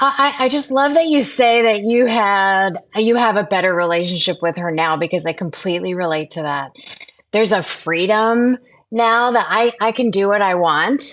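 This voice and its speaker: Against a quiet background, a woman with a plain, everyday voice speaks at a moderate pace, her medium pitch carrying lively intonation. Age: 50s. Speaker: actress and TV host. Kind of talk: interview answer.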